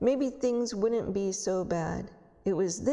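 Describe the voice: Ordinary pitch variation across a plain reading aloud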